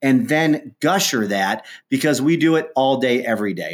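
Against a silent background in a very clean recording, a man with a Midwestern US accent speaks with lively intonation. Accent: US Midwest. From Ohio, US Midwest. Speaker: entrepreneur, company founder. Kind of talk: interview.

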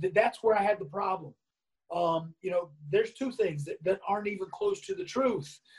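A man speaks with an American accent. His pitch is high, with ordinary variation. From North Carolina, US South. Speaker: former pro wrestler. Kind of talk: interview.

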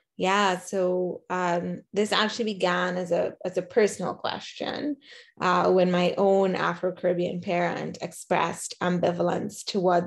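A woman's medium-pitched voice with vocal fry and monotone, flat intonation. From Trinidad. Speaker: professor. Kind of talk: academic interview.

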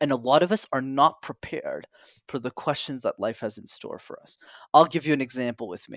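Recorded very cleanly over a silent background, a man with a Canadian accent and an unremarkable speaking voice talks at a fairly quick pace with a fairly high pitch, ordinary pitch variation, and big swings in loudness. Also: dry, close sound with no echo. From Montreal, Canada. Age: 20s. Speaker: public speaking coach. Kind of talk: interview.

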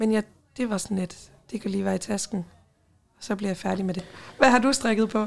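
With a fairly high pitch and vocal fry, a woman talks at a fairly quick pace in fairly even intonation, yet leaves long, frequent pauses. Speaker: podcast co-host. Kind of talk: casual chat.

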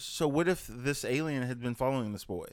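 In a very clean recording with a silent background, a man talks at a medium pitch and moderate pace, his pitch varying in an ordinary way. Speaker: amateur stage actor. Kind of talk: casual chat.

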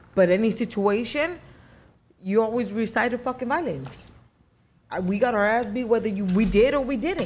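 Using lively intonation, a woman with an American accent talks at a moderate pace and a fairly high pitch in a somewhat breathy voice, with long, frequent pauses. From East Los Angeles. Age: 30s. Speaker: former gang member. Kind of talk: interview.

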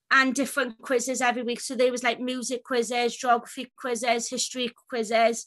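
A woman's high-pitched voice with a Welsh accent, flat and monotone, at a fairly quick pace with hardly any pauses. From Wales. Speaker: self-advocacy group chair. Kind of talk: interview.

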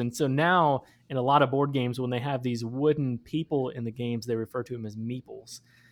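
At a moderate pace, a man with an ordinary speaking voice and medium pitch is captured on a very clean recording with a silent background. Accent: American. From Michigan. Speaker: campus minister and board game entrepreneur. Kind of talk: casual interview.

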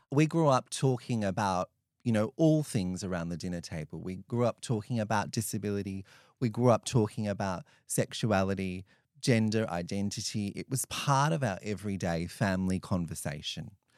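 In an Australian accent, a man with a fairly low voice speaks at a moderate pace with lively intonation, the sound dry and close with no echo on a very clean recording with a silent background. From regional New South Wales, Australia. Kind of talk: interview.

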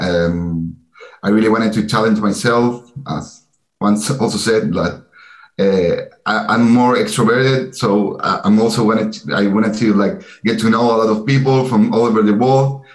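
A man speaks with a Spanish accent at medium pitch and ordinary pitch variation. His pace is moderate and his loudness very even. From Chile, Santiago. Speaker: MBA student. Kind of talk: interview.

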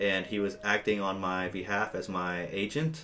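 A man speaks at a fairly low pitch with fairly even intonation, and noticeable background noise runs behind him. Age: 20s. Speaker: metal guitarist. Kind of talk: casual chat. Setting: office.

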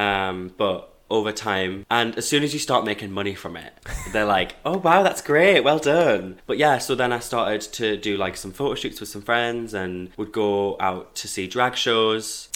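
With a Geordie accent, a man speaks at a fairly slow pace and fairly low pitch, with ordinary pitch variation and hardly any pauses. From northern England, Hebburn, South Tyneside. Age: 20s. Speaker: law student and drag performer. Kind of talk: casual chat. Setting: studio.

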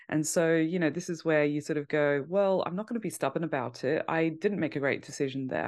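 A woman with a British accent, very fast, with a very deep, low voice and ordinary pitch variation, against a quiet background. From UK. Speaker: fantasy football content creator. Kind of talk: podcast interview.

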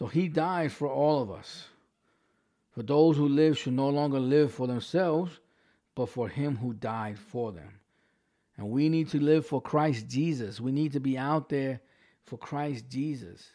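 A man's fairly high voice in a New York accent, dark and mellow in tone, at a fairly slow pace with ordinary pitch variation. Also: very clean recording, silent background. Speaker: pastor. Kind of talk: sermon. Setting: livestream from home. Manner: halting.

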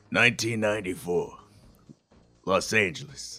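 Over background music, a man puts on a raspy character voice at a fairly low pitch. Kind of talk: gritty, hardboiled.

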